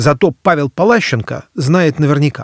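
This man speaks in a fairly high pitch with a somewhat breathy quality, and the sound is dry and close with no echo. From Moscow, Russia. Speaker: podcast host and author. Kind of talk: scripted narration.

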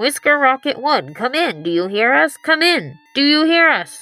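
A woman talks at a moderate pace. Her pitch is high. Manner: official, steady.

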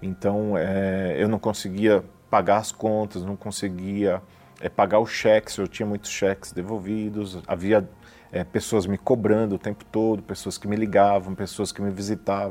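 Over music in the background, a man speaks at a moderate pace in a monotone, flat delivery with a fairly low pitch. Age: 40s. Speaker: businessman, church member. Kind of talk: testimony. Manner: hesitant, frequent fillers.

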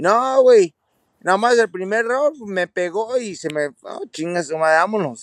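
Very slow and high-pitched, a man talks with lively intonation in a dry, close sound with no echo. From California, Santa Barbara, Mexican family. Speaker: retired professional boxer. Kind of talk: casual chat.

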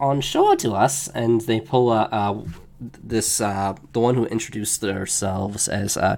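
An unforced reading voice, with pitch shifting in an ordinary way

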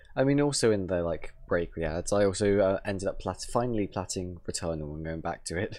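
With an English accent, a man speaks at a fairly quick pace in a fairly low pitch, barely pausing. His pitch varies in an ordinary way, and the background is quiet. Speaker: gaming podcast co-host. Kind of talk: casual chat.

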